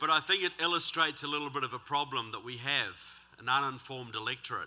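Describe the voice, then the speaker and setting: A man talks at a very fast pace with a New Zealand accent. His pitch is fairly high and varies in an ordinary way. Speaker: author and political speaker. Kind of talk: speech. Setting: stage with audience. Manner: animated.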